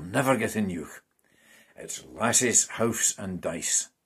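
Very slow speech in a Scottish accent. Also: man, quiet background. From Scotland. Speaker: translator and poetry reader. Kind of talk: reading aloud. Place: home room. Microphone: webcam.

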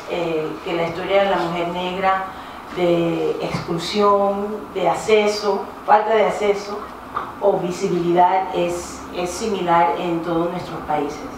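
A woman talks at a moderate pace in a monotone, flat intonation, with strong room echo and noticeable background noise. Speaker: panel facilitator. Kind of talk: event introduction speech. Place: hall.

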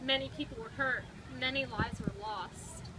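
A woman's high pitch and ordinary pitch variation amid noticeable background noise. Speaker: storybook reader. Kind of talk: reading a children's picture book aloud. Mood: calm, earnest storytelling. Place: street. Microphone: camera far.

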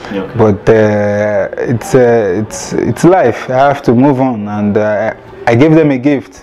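Over light background noise, a man speaks very slowly in a medium pitch with ordinary pitch variation. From Nigeria, Lagos; Nigeria. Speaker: professional footballer. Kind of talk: interview. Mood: calm, upbeat. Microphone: lapel.

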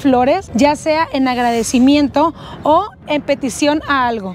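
A woman speaks with ordinary pitch variation. The sound is dry with no echo, over light background noise. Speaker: travel vlogger. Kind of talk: casual travel vlog presentation. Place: street. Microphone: lapel.

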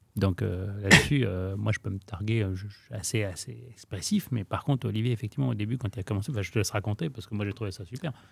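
Against light background noise, a man with a fairly low pitch and vocal fry races at a very fast pace with hardly any pauses and ordinary pitch variation, in a dry sound with no echo. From Lebanese family, raised in France. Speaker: real estate trainer. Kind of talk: casual interview chat. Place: studio. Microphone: studio mic.

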